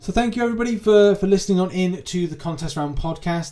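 A man with a British accent has a dark, mellow tone and a somewhat breathy sound, captured on a very clean recording against a silent background. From UK. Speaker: gaming podcast host. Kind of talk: casual chat.

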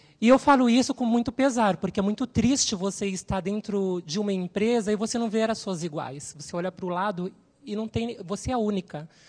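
Somewhat breathy and fairly quick, a woman speaks with ordinary pitch variation against a quiet background. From Brazil, São Paulo. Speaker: systems analyst, panelist. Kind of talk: panel talk. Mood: earnest, somewhat sorrowful. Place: hall. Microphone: handheld.

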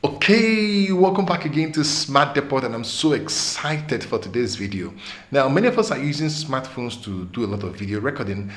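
His pitch swings very widely as the man speaks at a fairly quick pace. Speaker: tech channel host. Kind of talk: tutorial. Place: studio.

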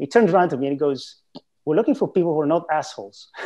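Against a quiet background, a man with a dark, mellow tone talks at a very fast pace with lively intonation. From Greece. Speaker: former bank trader; webinar guest. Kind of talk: interview. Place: home room. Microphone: webcam.

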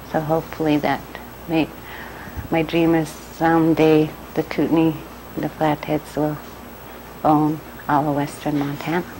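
Over light background noise, a woman with a very deep, low pitch talks in a monotone, flat intonation with long, frequent pauses. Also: moderate pace. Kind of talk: interview answer.

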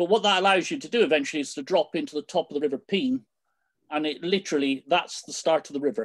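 In a British accent, the speaker talks at a very fast pace against a quiet background. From Britain. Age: 60s. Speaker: canoe coach. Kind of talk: presentation. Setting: video call. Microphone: video call.

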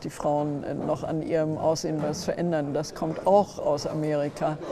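Over noticeable background noise, a woman speaks at a moderate pace in a very deep, low pitch. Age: 70s. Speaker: modeling agency head. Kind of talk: interview. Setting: conference. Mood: earnest, critical. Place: hall.

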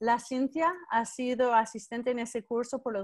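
Her pitch is high for a woman, and she speaks at a fairly slow pace. The background stays quiet. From United States. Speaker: professor leading online class. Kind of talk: live online class lecture. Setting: video call. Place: home room. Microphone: video call.

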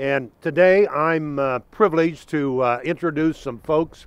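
A man's clear, smooth tone with ordinary pitch variation

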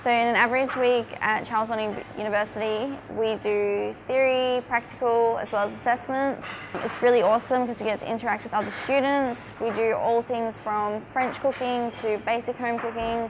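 With an Australian accent, a woman speaks at a fairly high pitch and moderate pace in a monotone, flat intonation, with hardly any pauses and noticeable background noise. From Australia, Northern Territory (Darwin). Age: 20s. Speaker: cookery student. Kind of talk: testimony. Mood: upbeat, enthusiastic. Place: kitchen. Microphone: lapel.

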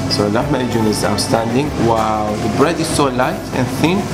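Music plays in the background. The speech is fairly slow, with ordinary pitch variation. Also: man. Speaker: food vlogger. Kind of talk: casual food review vlog. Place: cafe.

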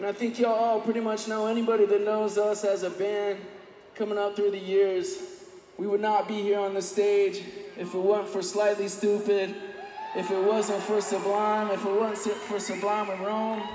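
A man's high-pitched, monotone, flat delivery at a moderate pace, with audible room echo and light background noise. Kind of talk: stage banter. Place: stage. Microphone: handheld.

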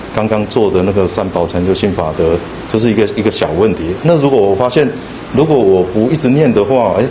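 The pace of the speech is fairly quick. Noticeable background noise runs underneath. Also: man. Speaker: student group leader. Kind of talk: group sharing. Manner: halting, hesitant. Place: hall. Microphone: handheld.

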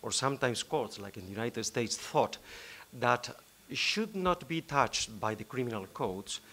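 At a moderate pace, a man speaks in a bright, sharp tone. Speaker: law professor panelist. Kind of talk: conference talk. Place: hall. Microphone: podium.

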